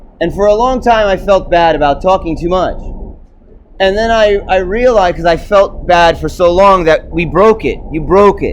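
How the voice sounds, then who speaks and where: A man speaks loudly at a moderate pace in a high pitch with ordinary variation. Noticeable background noise runs underneath. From New York, Puerto Rican background. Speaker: video blogger. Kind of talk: solo rant monologue. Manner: halting, repeats words.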